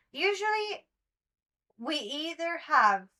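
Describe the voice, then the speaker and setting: A woman with a non-native accent projects a raised voice that has a bright, sharp tone. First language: not English. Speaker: webtoon commentary youtuber. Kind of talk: solo commentary monologue. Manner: occasional stumbling over words; casual, chatty.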